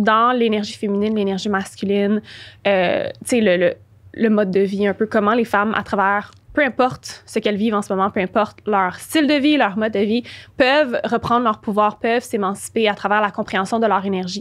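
With a Quebec accent, a woman speaks at a fairly high pitch and very even loudness against a quiet background. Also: moderate pace. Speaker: spiritual and business coach; podcast guest. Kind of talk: interview. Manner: animated. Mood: calm, reflective. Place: studio. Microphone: studio mic.

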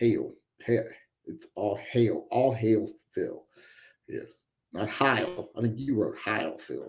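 A man speaking at a very slow pace against a quiet background. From West Virginia. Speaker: livestream host, military veteran; livestream host. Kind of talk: casual live-chat monologue. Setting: live stream. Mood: relaxed, opinionated. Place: home room.

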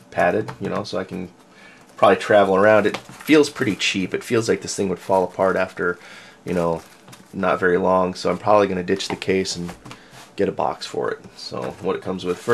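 With light background noise behind him, a man talks at a fairly quick pace in a very deep, low pitch and ordinary pitch variation. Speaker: hobbyist reviewer. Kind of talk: casual unboxing commentary. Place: home room.

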